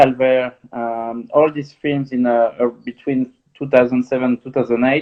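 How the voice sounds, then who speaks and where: A man with a French accent talks at a fairly slow pace and a medium pitch. His intonation is monotone and flat. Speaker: film director. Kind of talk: interview. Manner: halting.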